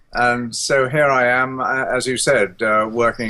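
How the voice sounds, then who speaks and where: Speaking with a British RP accent, this man has a medium pitch. His tone is bright and sharp, and his intonation fairly even. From England. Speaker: economist and former politician. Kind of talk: interview. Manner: hesitant, many fillers.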